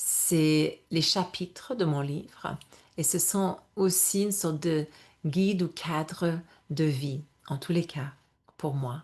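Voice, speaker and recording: A woman with an English accent, fairly low-pitched, at a very slow pace with long, frequent pauses, ordinary pitch variation and a quiet background. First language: English (speaking French). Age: 50s. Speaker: yoga and menopause coach. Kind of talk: webinar presentation. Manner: halting, self-correcting.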